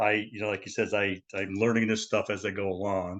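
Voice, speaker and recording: A man's fairly low voice at a fairly quick pace, fairly even in intonation, over a quiet background. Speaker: lecturer, lay translator. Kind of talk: lecture. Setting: video call. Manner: fast; fumbling words.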